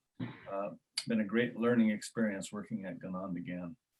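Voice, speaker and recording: At a moderate pace, a man speaks in a plain, everyday voice with fairly even intonation. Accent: American. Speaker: Native artist and historic site director. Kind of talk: panel discussion.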